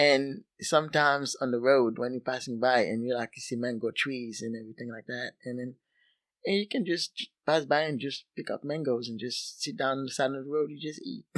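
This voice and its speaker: The voice moves at a fairly quick pace with ordinary pitch variation and big swings in loudness, in a dry, close sound with no echo. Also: man, medium pitch for a man. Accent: Haitian. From Haiti. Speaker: soccer coach. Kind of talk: casual interview. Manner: halting.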